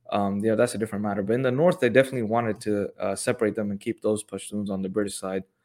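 Speaking very fast with hardly any pauses, a man with fairly low pitch and ordinary pitch variation comes through on a very clean recording with a silent background. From Pakistani family, KPK (Pashtun area). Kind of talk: casual interview chat. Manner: casual, many filler words.

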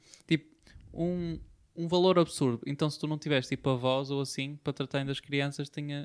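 With a European Portuguese accent, a man with a fairly high pitch talks at a moderate pace and fairly even intonation, in dry, close sound with no echo. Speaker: podcast co-host. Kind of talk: casual chat.

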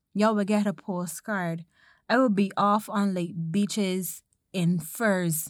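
Against a silent background on a very clean recording, a woman with a medium pitch speaks at a very slow pace, her intonation fairly even. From Caribbean. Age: 20s. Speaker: podcast host. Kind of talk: casual chat.

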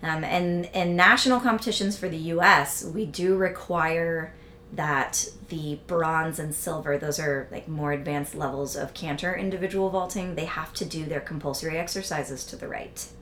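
There is noticeable background noise as a woman with an American accent talks at a fairly low pitch. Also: ordinary pitch variation, moderate pace. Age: 40s. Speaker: equestrian vaulting coach. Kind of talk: casual interview.

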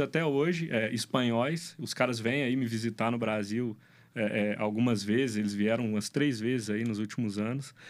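In a very clean recording with a silent background, a man speaks in a normal speaking voice at medium pitch, with ordinary pitch variation and a moderate pace. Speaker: brewery owner and business consultant. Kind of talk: casual interview.

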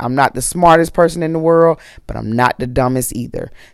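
With an animated tone and ordinary pitch variation, a woman talks. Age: 40s. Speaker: podcast host. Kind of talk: casual monologue.

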